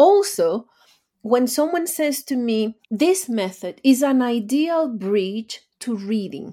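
In a Spanish accent, a woman talks very slowly in a high, dark, mellow voice with very wide pitch swings. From Venezuela. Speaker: language teacher and author. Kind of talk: interview.

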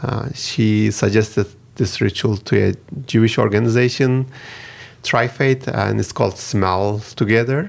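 A man with a Turkish accent speaks at a fairly slow pace and a medium pitch, with fairly even intonation, on a very clean recording with a silent background. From Turkey. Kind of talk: interview.

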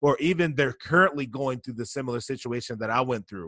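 A man with an American accent speaks at a medium pitch in a bright, sharp, energetic and animated tone with ordinary pitch variation. The sound is dry and close, with no echo. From US, Baltimore, Maryland. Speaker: motivational speaker and author. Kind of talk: interview. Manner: energetic, animated.

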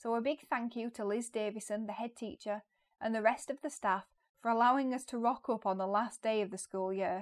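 An unremarkable speaking voice from a woman, fairly high in pitch, with fairly even intonation and a fairly quick pace, on a very clean recording with a silent background. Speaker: podcast host, former teacher. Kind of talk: casual interview.

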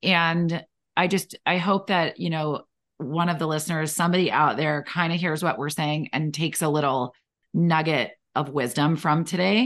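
Against a quiet background, the speaker talks at a moderate pace with ordinary pitch variation. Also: woman, very deep, low pitch for a woman. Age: 40s. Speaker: podcast co-host, mom entrepreneur. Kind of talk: casual chat.

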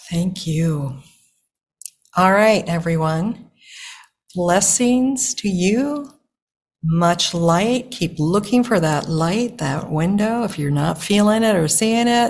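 Her voice is medium-pitched and somewhat breathy. She speaks very slowly, with long, frequent pauses. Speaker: podcast host. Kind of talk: interview conversation.

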